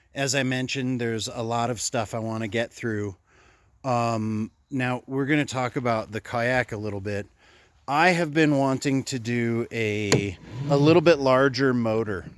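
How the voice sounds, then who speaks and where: A man's plain, everyday voice at medium pitch, with ordinary pitch variation, a moderate pace and a dry sound with no echo. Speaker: kayak fishing vlogger. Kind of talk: casual vlog talk. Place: garden. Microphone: phone near.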